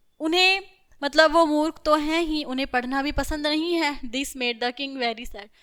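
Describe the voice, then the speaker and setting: This woman's voice has a bright, sharp tone. She sounds animated, with ordinary pitch variation. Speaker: school teacher. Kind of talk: lecture.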